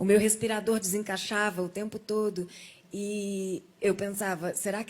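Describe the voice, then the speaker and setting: At a moderate pace and medium pitch, a somewhat breathy woman speaks with fairly even intonation. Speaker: guest sharing a near-death testimony. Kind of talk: testimony in a TV talk show interview.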